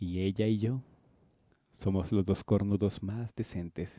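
Spoken at a very slow pace, this voice has a dark, mellow tone and ordinary pitch variation, with a dry sound, no echo and a quiet background. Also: man. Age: 20s. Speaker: YouTuber; birthday host. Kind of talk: casual vlog. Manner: animated. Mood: warm, celebratory, thankful. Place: home room. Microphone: handheld.

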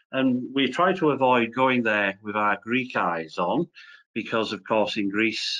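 A man with a Welsh accent at a moderate pace, ordinary pitch variation, and a quiet background. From Wales. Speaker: professor. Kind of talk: lecture. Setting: video call. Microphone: video call.

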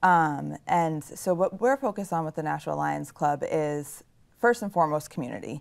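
Against a quiet background, a woman with an American accent talks at a moderate pace. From Nashua, New Hampshire, US; New Hampshire. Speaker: service club president. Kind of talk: casual interview. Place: studio.

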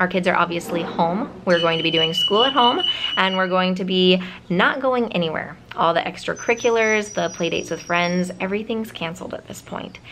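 Amid noticeable background noise, a woman speaks fairly quickly with ordinary pitch variation. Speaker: family vlogger. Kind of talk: casual vlog chat. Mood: earnest, slightly wistful. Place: home room. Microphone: phone near.

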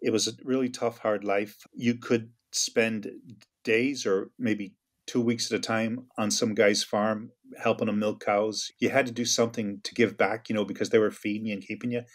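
A man speaks with an American accent at a medium pitch and a moderate pace. His intonation is monotone and flat. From United States. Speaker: former IRA member and Marine veteran. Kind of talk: interview answer.

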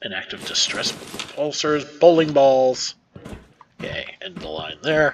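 At a fairly slow pace, a normal speaking voice moves through big swings in loudness with ordinary pitch variation. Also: man, fairly high pitch for a man. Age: middle-aged. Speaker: gaming youtuber. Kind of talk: let's play commentary. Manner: casual.

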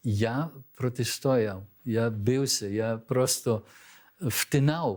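On a very clean recording with a silent background, a man of medium pitch speaks with ordinary pitch variation. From Belgium, born abroad to Ukrainian diaspora. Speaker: diaspora organization leader, former embassy staffer. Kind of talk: studio interview. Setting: TV studio.

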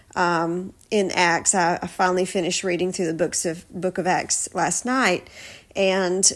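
Here a woman speaks at a fairly slow pace in a medium pitch. Her intonation is monotone and flat. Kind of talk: casual devotional podcast talk.

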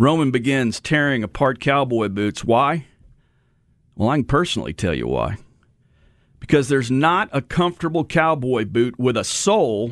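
A man with an American accent talks at a moderate pace with lively intonation, in a dry sound with no echo against a quiet background. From Texas. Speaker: radio host. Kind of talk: radio story segment. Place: studio.

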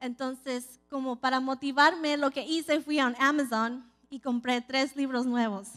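A high-pitched woman's voice, fairly slow and fairly even in intonation, over a quiet background. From California. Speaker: preacher. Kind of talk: sermon. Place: church. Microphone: handheld.

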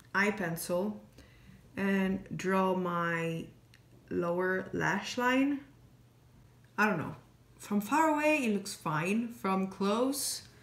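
Speaking at a very slow pace with long, frequent pauses, a woman is heard amid audible room echo. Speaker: beauty vlogger. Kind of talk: makeup tutorial chat. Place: home room. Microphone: phone near.

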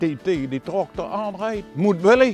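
A man with a high pitch talks at a fairly slow pace with very wide pitch swings, the sound dry with no echo and faint music behind him. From Limburg, Netherlands. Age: 80s+. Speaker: tractor owner, farmer. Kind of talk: interview answer. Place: farm machine.

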